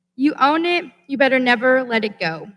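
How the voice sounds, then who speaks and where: Raising and projecting her voice, a woman with an American accent speaks at a high pitch in a bright, sharp tone with lively intonation. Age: 20s. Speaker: student commencement speaker. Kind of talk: commencement speech. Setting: stage with audience. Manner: formal.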